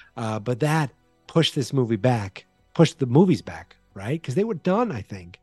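Over music in the background, a man with an American accent speaks at a medium pitch with very wide pitch swings and big swings in loudness, the sound dry and close with no echo. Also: moderate pace. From Massachusetts. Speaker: podcast host. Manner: casual, chatty.

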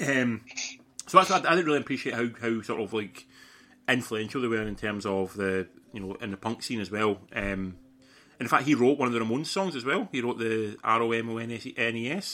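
A man with a Scottish accent, a medium-pitched voice, a bright, sharp tone, a fairly quick pace and ordinary pitch variation. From Scotland. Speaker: podcast host. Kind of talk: casual chat.

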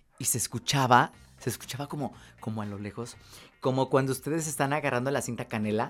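The talking is very fast. Background music can be heard. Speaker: radio and TV presenter. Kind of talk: casual chat.

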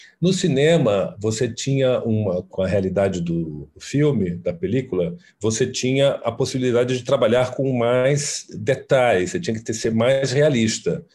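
With hardly any pauses, a man at medium pitch speaks in a dark, mellow, somewhat breathy tone with lively intonation. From Brazil, Fortaleza (Ceará). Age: 40s. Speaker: costume designer. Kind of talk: interview.

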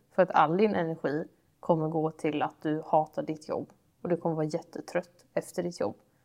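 An unremarkable speaking voice: a woman with a fairly low pitch talks at a fairly quick pace. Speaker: podcast co-host. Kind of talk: casual chat.

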